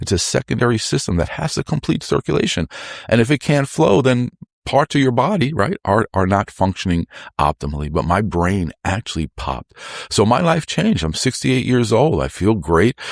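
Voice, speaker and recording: An animated man at medium pitch, with very wide pitch swings, vocal fry and a fairly quick pace, on a very clean recording with a silent background. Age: 60s. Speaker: lymphatic health expert. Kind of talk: interview.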